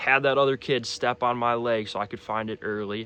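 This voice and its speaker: A man at a medium pitch with a bright, sharp tone, fairly even intonation and a moderate pace, against a quiet background. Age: 20s. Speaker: fitness influencer and cancer survivor. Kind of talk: personal vlog testimony. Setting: in front of a camera. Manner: casual, with frequent fillers.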